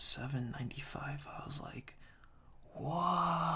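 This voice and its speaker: A man whispers in a calm tone. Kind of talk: ASMR whispered reading of humorous product reviews. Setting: binaural ear-to-ear microphone recording. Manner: whispered, soft-spoken, calm.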